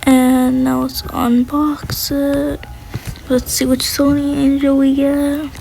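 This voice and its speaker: A woman speaks at a very slow pace over noticeable background noise. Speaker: gaming youtuber. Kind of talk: gameplay commentary.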